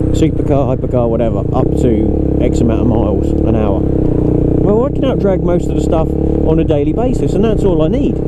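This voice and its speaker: A man speaks at a fairly quick pace in a room with audible echo and noticeable background noise. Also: very even loudness. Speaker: motovlogger. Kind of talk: casual vlog commentary while riding. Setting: riding a motorcycle on the road.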